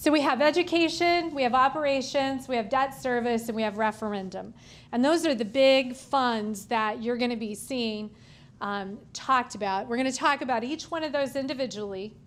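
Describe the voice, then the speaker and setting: There is audible room echo around this voice. A woman speaks at a high pitch. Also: ordinary pitch variation, moderate pace. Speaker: school finance lecturer, former superintendent. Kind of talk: lecture. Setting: room with live audience. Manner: informal, conversational.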